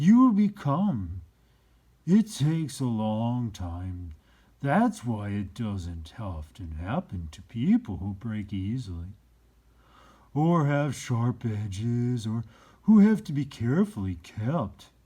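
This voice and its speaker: In a put-on character voice, a man speaks at a medium pitch and a fairly slow pace on a very clean recording with a silent background. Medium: read story. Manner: gentle, unhurried, wise.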